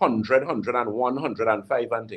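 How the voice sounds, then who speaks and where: With a Trinidadian accent, a man talks at a medium pitch. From Trinidad and Tobago. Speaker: naturopathic health practitioner. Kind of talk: radio call-in health advice. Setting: radio studio. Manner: animated.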